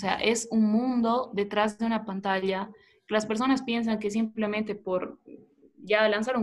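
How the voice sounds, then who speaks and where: The woman's monotone, flat intonation carries through at a moderate pace. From Bolivia, Tarija. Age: 20s. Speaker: former beauty pageant contestant. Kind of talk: interview.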